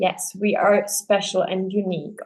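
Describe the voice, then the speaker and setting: This woman speaks with a Czech accent. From Czech Republic. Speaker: podcast host, dancer. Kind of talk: casual interview chat. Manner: halting, many fillers.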